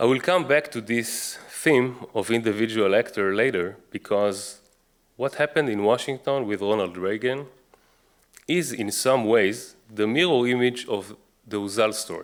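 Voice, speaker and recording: The intonation is lively. A man speaks with an Israeli accent. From Israel, Jerusalem. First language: Hebrew. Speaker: author and researcher. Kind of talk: book talk lecture.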